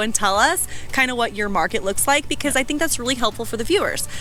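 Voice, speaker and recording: With music in the background, a woman talks at a very fast pace, her high pitch carried on lively intonation. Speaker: real estate channel co-host. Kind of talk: casual chat.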